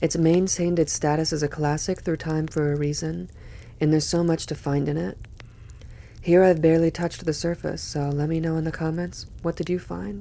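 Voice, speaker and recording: Soft-spoken and relaxed in tone, a woman with a very deep, low, dark and mellow voice talks fairly quickly with fairly even intonation. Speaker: poetry reader. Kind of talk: reading aloud; casual commentary.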